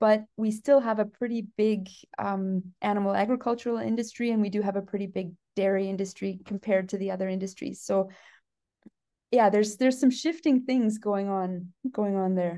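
A woman with a Canadian accent speaks at a fairly quick pace, her tone dark and mellow and her intonation fairly even, against a quiet background. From Canada, southwestern Ontario. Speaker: geneticist professor. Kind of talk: casual interview. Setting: conference venue. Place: office. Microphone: video call.

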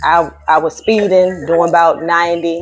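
A woman speaks with faint music in the background. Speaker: caller. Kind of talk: phone conversation prank. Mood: playful, urgent pretend tone. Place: home room.

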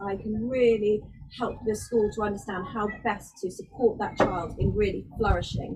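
Noticeable background noise is present. Over it, a woman keeps a moderate pace. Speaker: boarding house parent. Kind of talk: webinar presentation. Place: open country.

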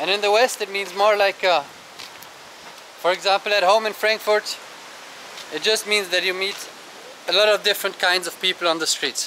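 With a German accent, a man speaks at a high pitch and moderate pace in monotone, flat intonation over light background noise. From Germany. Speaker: travel vlogger. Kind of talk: casual vlog monologue. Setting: outdoors. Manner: conversational with frequent fillers. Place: beach. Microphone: phone near.

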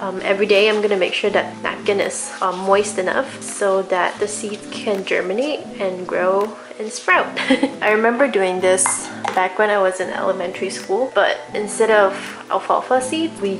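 A woman at a moderate pace with ordinary pitch variation, music in the background. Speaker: vlogger. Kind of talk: calm vlog voice-over narration.

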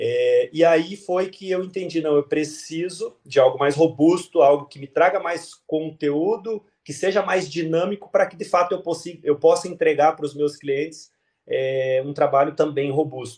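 A high-pitched man at a moderate pace, with big swings in loudness. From Santa Catarina, southern Brazil (São Bento do Sul). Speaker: physiotherapist and ergonomics student. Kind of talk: interview testimony. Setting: video call. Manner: halting.

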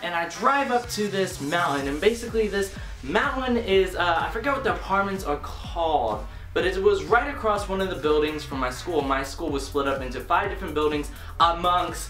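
Over clear background music, a man talks at a fairly quick pace with audible room echo. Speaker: vlogger. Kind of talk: casual vlog chat, story time. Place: home room.

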